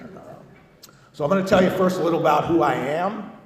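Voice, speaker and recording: A man with an American accent, audible room echo and noticeable background noise. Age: 60s. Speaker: recovery speaker, Vietnam veteran. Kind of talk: recovery testimony. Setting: convention stage with audience. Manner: casual, halting with fillers.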